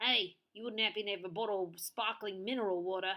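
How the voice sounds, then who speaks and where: Putting on a character voice, a woman speaks very fast at a medium pitch. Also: fairly even intonation. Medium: read story. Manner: melodramatic.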